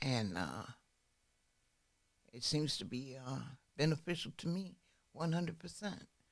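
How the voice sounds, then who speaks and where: A woman speaks with vocal fry at a very deep, low pitch, making very wide pitch swings. Long, frequent pauses break up her speech. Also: fairly slow pace. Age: 60s. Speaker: person in addiction recovery. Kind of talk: testimony. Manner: halting.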